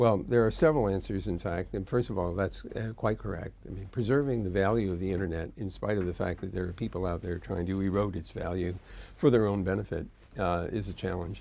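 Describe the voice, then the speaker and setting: A man speaks at a fairly quick pace in a very deep, low voice with a dark, mellow tone, ordinary pitch variation and vocal fry. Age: 70s. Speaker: internet pioneer, tech executive. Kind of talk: interview answer.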